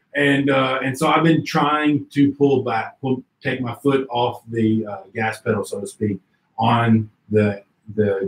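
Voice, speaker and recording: A man talks fairly slowly, his voice somewhat breathy and his pitch variation ordinary. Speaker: interview show host. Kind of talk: casual interview. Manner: stutters at times.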